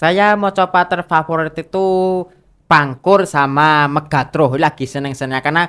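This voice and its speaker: On a very clean recording with a silent background, a man with a bright, sharp, fairly high voice speaks at a moderate pace with ordinary pitch variation. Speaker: university student, gamelan and macapat singer. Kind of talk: casual interview.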